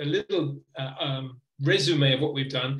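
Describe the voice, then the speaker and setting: With a fairly high pitch and fairly even intonation, the man has an unremarkable speaking voice. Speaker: teacher trainer. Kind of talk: webinar presentation.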